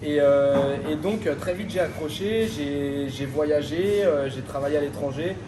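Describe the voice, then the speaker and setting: Over noticeable background noise and audible room echo, a man with a fairly high pitch talks at a very slow pace with hardly any pauses and ordinary pitch variation. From France, Paris suburbs. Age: 20s. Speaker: restaurant owner. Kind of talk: interview. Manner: hesitant, many fillers.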